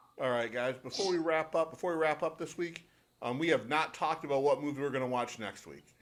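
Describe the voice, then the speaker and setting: Talking at a very fast pace, a man with a Michigan accent has a fairly high pitch and ordinary pitch variation. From Detroit, Michigan. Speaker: podcast co-host. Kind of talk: casual chat.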